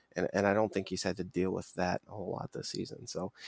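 A man with an American accent speaks at a very fast pace, recorded very cleanly against a silent background with a dry, close sound and no echo. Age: 30s. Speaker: sports podcast co-host. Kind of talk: casual chat.

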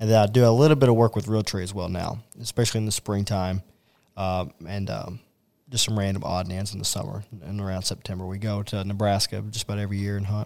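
A man speaks at a very fast pace with a fairly low pitch and fairly even intonation. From Kentucky, Owensboro. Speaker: hunting TV producer. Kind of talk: casual interview chat. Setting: outdoors in the sun.

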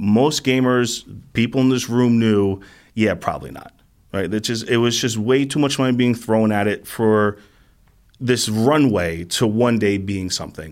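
In a very clean recording with a silent background, a man uses an unremarkable speaking voice at medium pitch with ordinary pitch variation. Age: 40s. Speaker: esports community organizer. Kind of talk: interview.

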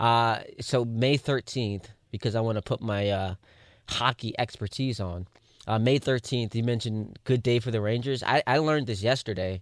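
A man's normal speaking voice at medium pitch and moderate pace, with fairly even intonation, a dry, close sound with no echo, and a very clean recording over a silent background. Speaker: radio co-host. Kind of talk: sports talk radio. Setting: studio.

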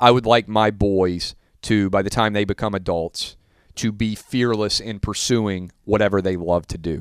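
A normal speaking voice from a man with an American accent, at a fairly low pitch, moderate pace and fairly even intonation. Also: very clean recording, silent background. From US South. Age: 30s. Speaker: sports broadcaster. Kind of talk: casual chat.

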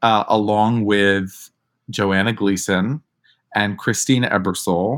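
With an American accent, a man talks at a very slow pace and a fairly low pitch, his intonation fairly even. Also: very clean recording, silent background. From New York. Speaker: drag performer and theater actor. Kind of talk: interview.

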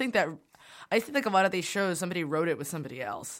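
Here a woman talks at a very fast pace with an American accent. Her pitch is medium. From Brooklyn, New York. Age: 20s. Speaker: radio host. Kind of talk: casual chat.

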